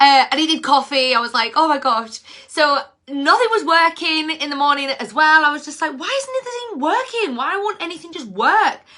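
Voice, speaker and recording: A woman's raised, projected, bright and sharp voice at high pitch, moderate in pace, with very wide pitch swings and big swings in loudness. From northern England, Cumbria. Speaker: mindset and leadership mentor. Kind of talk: casual livestream talk. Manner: animated.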